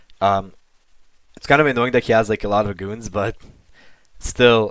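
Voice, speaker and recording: Recorded very cleanly against a silent background, a man speaks at a fairly quick pace. His voice is fairly low with ordinary pitch variation. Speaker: online debater and commentator. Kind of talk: casual monologue commentary. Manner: fast.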